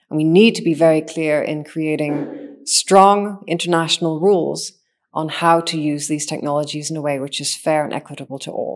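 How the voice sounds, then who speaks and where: At a moderate pace, a woman with a Northern Irish accent speaks at a very deep, low pitch with fairly even intonation, in a very clean recording with a silent background. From Northern Ireland. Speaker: machine intelligence engineer. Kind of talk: interview. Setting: studio.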